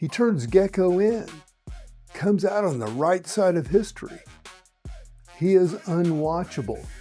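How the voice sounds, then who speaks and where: Against music in the background, a man with a high pitch and lively intonation speaks at a fairly slow pace. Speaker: comedian, late-night host. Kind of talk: late-night comedy monologue.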